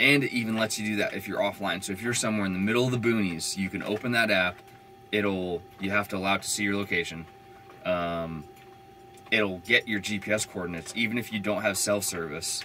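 In a plain, everyday voice, a man talks at a fairly quick pace with fairly low pitch. His intonation is fairly even, and there is light background noise. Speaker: van dweller vlogger. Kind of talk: casual vlog chat. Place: home room. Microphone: camera far.

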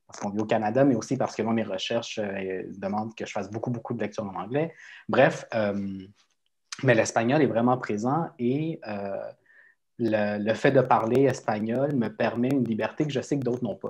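Against a quiet background, a man with a Spanish accent talks at a moderate pace with ordinary pitch variation. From Quebec. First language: Spanish (speaking French). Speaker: writer; guest. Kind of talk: panel discussion. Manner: halting. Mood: thoughtful, calm. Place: home room. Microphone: video call.

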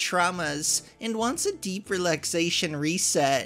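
With music playing in the background, a woman speaks with lively intonation. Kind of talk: reading a post aloud, character voice.

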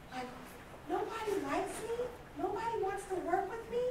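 A woman talks at a moderate pace. Light background noise and audible room echo come through. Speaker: conference speaker. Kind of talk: motivational talk. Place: hall. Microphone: camera far.

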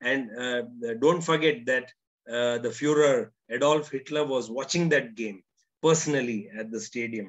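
A man with ordinary pitch variation against a quiet background. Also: moderate pace. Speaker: narrator recalling interviews. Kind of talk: storytelling commentary. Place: home room. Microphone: webcam.

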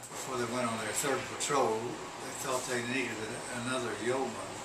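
A man talks while loud noise fills the background. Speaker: war veteran. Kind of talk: interview answer. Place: home room.

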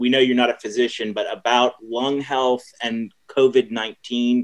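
A man at a moderate pace, quiet background behind him. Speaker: event moderator. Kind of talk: Q&A moderation. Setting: video call. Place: home room. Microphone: webcam.

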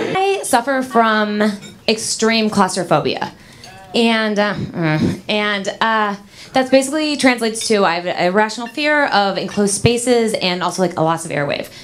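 A woman's fairly high pitch varies in an ordinary way as she talks at a moderate pace. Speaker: stand-up comedian. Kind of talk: stand-up comedy. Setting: stage with audience. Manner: animated, sassy, mimicking dramatic girl voices. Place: stage. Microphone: handheld.

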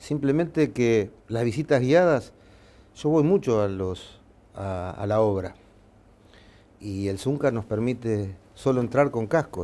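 A man's medium-pitched voice, dark and mellow in tone, with lively intonation. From Uruguay. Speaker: football club president; interviewee. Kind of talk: interview. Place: office. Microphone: lapel.

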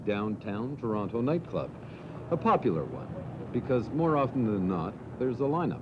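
At a moderate pace, the talking carries on against noticeable background noise. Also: man. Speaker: news reporter. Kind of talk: news narration.

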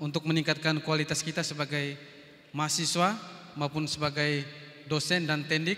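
A man speaks with a bright, sharp tone. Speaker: event moderator. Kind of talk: formal event hosting. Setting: hall with audience. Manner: formal. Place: hall. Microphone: handheld.

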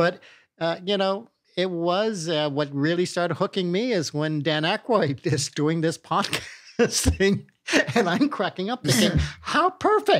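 At a fairly slow pace, a man with a high pitch speaks with ordinary pitch variation over a quiet background. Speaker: podcast movie reviewer. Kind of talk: casual movie review chat. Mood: amused, relaxed. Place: home room. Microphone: studio mic.

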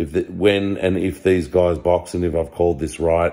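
A man speaks at low pitch in a dark, mellow tone. His pitch variation is ordinary.

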